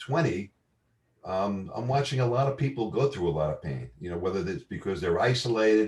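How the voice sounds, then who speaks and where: A man talks with a New York accent. His intonation is lively. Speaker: marketing entrepreneur. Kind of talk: casual chat. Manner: halting.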